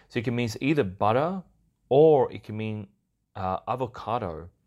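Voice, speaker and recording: The voice belongs to a man. It is a very clean recording with a silent background. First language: Swedish. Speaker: podcast host and YouTuber. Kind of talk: casual solo podcast monologue. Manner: casual, conversational, fillers.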